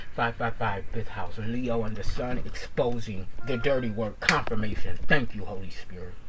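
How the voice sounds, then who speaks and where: Noticeable background noise sits behind a man who talks at a moderate pace and medium pitch with hardly any pauses. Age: 40s. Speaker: intuitive reader and content creator. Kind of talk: tarot reading mixed with personal rant. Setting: recording alone in a pod. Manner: loud; animated.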